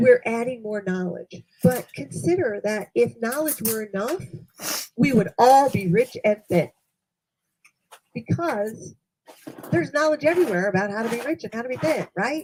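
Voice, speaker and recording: Loud and at a moderate pace, a woman with fairly high pitch speaks with very wide pitch swings and long, frequent pauses. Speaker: leadership coach. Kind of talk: training seminar. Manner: loud, projecting voice.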